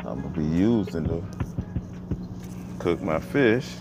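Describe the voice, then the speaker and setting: A man at a very slow pace with music in the background. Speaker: truck driver vlogger. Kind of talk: casual vlog chat. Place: car. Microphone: earbuds.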